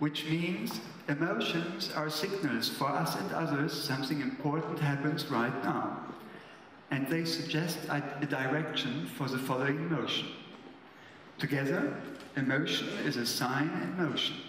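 A man speaks at a fairly slow pace with very even loudness and ordinary pitch variation, with audible room echo and light background noise. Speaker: speaker. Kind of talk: lecture. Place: stage. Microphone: podium.

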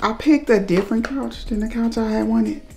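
Music plays in the background while a woman talks. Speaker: vlogger. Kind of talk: casual vlog chat. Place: kitchen. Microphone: camera far.

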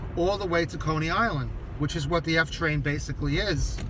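With ordinary pitch variation, a man is heard in a dry recording with no echo but noticeable background noise. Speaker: local history vlogger. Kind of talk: casual vlog chat. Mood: relaxed, storytelling. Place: car. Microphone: phone near.

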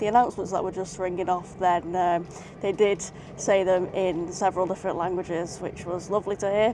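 The woman's intonation is fairly even. The sound is dry with no echo, and background noise is noticeable. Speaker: travel vlogger. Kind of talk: casual vlog chat. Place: train. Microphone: phone near.

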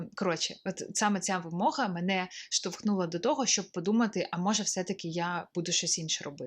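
Against a quiet background, a woman with an unremarkable speaking voice talks at a fairly quick pace, medium in pitch with ordinary pitch variation. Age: 20s. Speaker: stock photographer and video blogger. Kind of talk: casual vlog monologue.

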